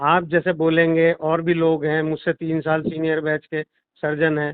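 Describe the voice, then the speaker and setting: The speaker is a man with a fairly high pitch. His intonation stays monotone and flat. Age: 60s. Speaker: doctor and political organizer. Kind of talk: casual conversation.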